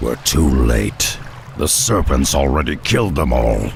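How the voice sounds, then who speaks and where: Clear background noise sits behind a man doing a put-on character voice. He speaks at a moderate pace with a very deep, low pitch. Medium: short film. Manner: blunt, gruff.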